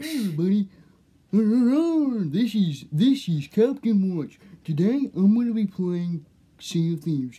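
A female-sounding put-on character voice at medium pitch, fairly slow, with long, frequent pauses. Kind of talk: character voice gaming intro. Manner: gruff pirate voice.

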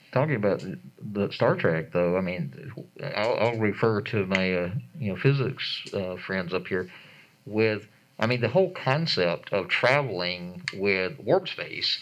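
A man with an American accent, fairly low in pitch, with lively intonation and a fairly slow pace. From Atlanta, Georgia. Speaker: planetarium educator and researcher. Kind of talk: panel discussion. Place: hall.

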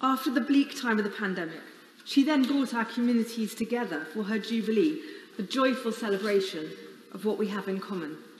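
In a room with audible echo and light background noise, a woman speaks fairly quickly at a fairly high pitch with lively intonation. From England. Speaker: member of parliament. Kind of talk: solemn parliamentary eulogy tribute. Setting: chamber of parliament. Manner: formal, measured and reverent; warm, with a light wry laugh. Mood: solemn, mournful, emotional. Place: hall.

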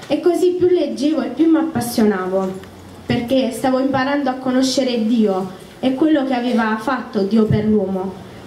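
A woman's high-pitched voice with lively intonation and very even loudness, at a moderate pace, with audible room echo and light background noise. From southern Italy, Apulia (San Severo). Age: 20s. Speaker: church member giving testimony. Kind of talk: testimony. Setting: tent meeting with audience. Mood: calm, earnest, slightly nervous. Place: tent.

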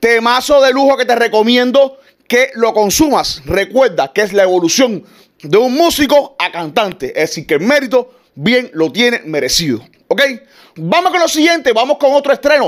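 Against a quiet background, a man with an extremely high pitch speaks at a moderate pace in an animated tone with very wide pitch swings. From Cuba. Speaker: gossip show host. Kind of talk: entertainment gossip presenting. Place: home room.

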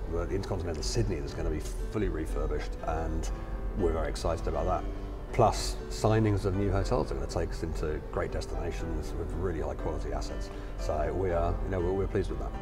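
A man rattles off his words at a very fast pace while clear music sounds behind him. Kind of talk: interview answer. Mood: upbeat, positive. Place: hall. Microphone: lapel.

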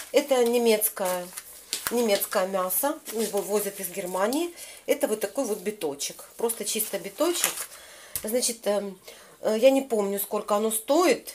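Her voice is fairly high, with lively intonation. The woman speaks fairly slowly over light background noise. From Kyiv, Ukraine. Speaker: lifestyle vlogger. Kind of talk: casual talk to camera. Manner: chatty, upbeat. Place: home room. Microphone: phone near.

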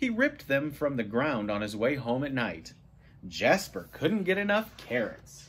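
With vocal fry and very wide pitch swings, a man speaks at a moderate pace. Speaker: storybook reader. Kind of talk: read-aloud storytelling. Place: home room. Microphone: phone near.

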